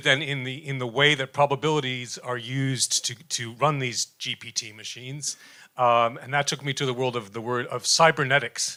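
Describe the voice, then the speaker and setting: A man with a New York accent speaks at a fairly quick pace in a bright, sharp tone with fairly even intonation. His loudness swings widely on a very clean recording with a silent background. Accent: New York American. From US, New York. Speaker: professor, jazz researcher. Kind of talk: panel presentation. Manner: fast; halting, many fillers.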